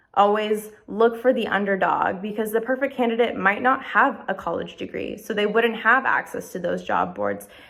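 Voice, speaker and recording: Speaking at a moderate pace, a woman uses a fairly high pitch, fairly even intonation and vocal fry. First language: not English. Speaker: music journalist. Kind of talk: documentary interview.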